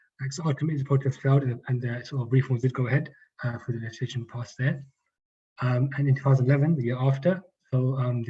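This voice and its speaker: Very fast speech comes from a man with a medium pitch and a dark, mellow tone. He sounds somewhat breathy, his intonation monotone and flat. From Northwest London. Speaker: activist speaker. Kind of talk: reading a prepared talk.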